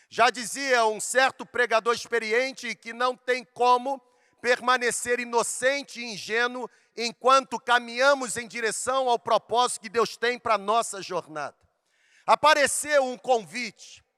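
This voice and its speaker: Heard dry and close with no echo in a very clean, silent recording, a man speaks at an extremely high pitch in a raised, projected voice, bright and sharp in tone, with fairly even intonation and a fairly slow pace. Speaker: pastor. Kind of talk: sermon. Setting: stage with audience.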